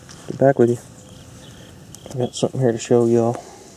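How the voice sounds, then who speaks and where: The recording of a man is dry with no echo and carries light background noise. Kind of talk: casual vlog chat. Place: waterside. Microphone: phone near.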